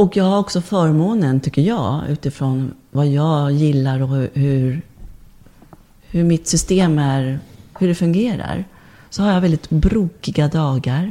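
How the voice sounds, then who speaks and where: Her pitch sits very deep and low. This woman's tone is dark and mellow. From born abroad, moved to Sweden at age four. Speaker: body and movement therapist, birth doula. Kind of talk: casual interview chat.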